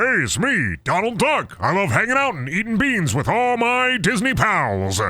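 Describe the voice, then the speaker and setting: Using a put-on character voice at a high pitch, a man talks with hardly any pauses. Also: moderate pace. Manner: cheerful, goofy.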